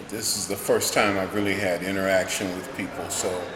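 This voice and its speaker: A man with an American accent speaks fairly quickly at a fairly low pitch, in a flat monotone. Room echo is audible, along with noticeable background noise. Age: 60s. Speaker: historian. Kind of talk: interview.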